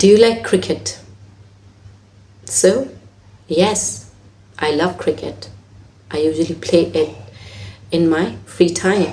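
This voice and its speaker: Speaking with a non-native accent at a very slow pace, a woman uses vocal fry and a dark, mellow tone, her pitch swinging very widely between long, frequent pauses. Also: fairly low pitch for a woman. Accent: own non-native. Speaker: IELTS teacher. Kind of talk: tutorial.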